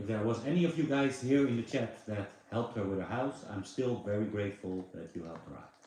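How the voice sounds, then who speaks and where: A man with a Dutch accent talks at a fairly quick pace. His pitch is medium and his intonation lively. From Netherlands. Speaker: live streamer. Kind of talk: casual chat. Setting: livestream.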